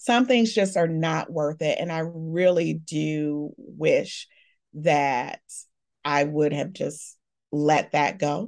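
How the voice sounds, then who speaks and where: Over a quiet background, a woman with an American accent speaks very slowly in a fairly low voice with lively intonation. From Chicago. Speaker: divorced mother and higher education administrator. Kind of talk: interview testimony.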